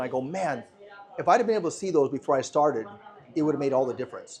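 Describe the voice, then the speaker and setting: A man with an American accent at a very fast pace and a fairly high pitch, lively intonation, with noticeable background noise. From USA. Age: 60s. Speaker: entrepreneur. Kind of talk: interview.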